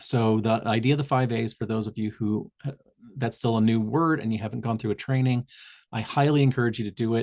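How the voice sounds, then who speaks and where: A plain, everyday voice from a man with an American accent, medium in pitch with fairly even intonation and a fairly quick pace, dry and close with no echo against a quiet background. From Southern Indiana, US. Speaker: public health tobacco cessation trainer. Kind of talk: online community call presentation. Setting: video call. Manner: frequent fillers and self-corrections.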